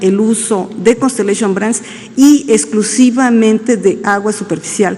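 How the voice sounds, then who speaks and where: Noticeable background noise sits behind a woman with a fairly high pitch. She speaks at a fairly slow pace with fairly even intonation. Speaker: government official. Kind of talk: press conference answers. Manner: halting, many fillers.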